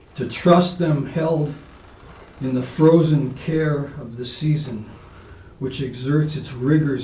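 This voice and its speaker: Very slowly and somewhat breathily, a man speaks at a fairly high pitch in a dark, mellow tone with audible room echo. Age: 70s. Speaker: poet. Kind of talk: poetry reading; casual spoken introduction. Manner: halting with fillers.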